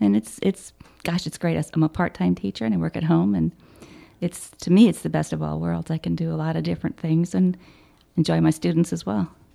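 In an American accent, a woman speaks at a moderate pace. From Chicago, southeast side. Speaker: service club president. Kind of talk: interview. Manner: halting, many fillers.

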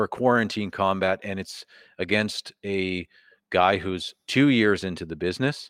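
In a very clean recording with a silent background and a dry, close sound with no echo, a man with a fairly low pitch speaks at a fairly slow pace with ordinary pitch variation in a normal speaking voice. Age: 30s. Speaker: podcast host and wrestling trainee. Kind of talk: casual chat. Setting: wrestling training hall, live stream.

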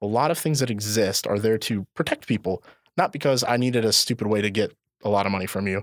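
Using a normal speaking voice with an American accent, a man talks at a fairly quick pace in a medium pitch with ordinary pitch variation, the sound dry and close with no echo on a very clean recording with a silent background. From northwest Indiana. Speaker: school resource officer (police). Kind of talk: casual interview.

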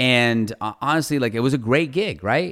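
An American accent with ordinary pitch variation, on a very clean recording with a silent background. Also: man. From US Midwest (Ohio). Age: 40s. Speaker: lawyer and business owner. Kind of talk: casual interview.

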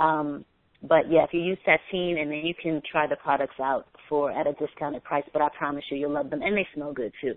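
Speaking at a fairly quick pace with an American accent, a woman uses a very deep, low pitch and fairly even intonation. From New York, the Bronx. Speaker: model and motivational speaker. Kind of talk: interview.

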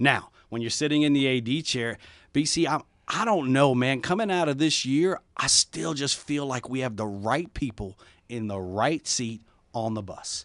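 Against a quiet background, a man with an ordinary speaking voice talks at a moderate pace and medium pitch, his intonation lively. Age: 40s. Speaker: university athletic director. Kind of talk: interview. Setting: studio.

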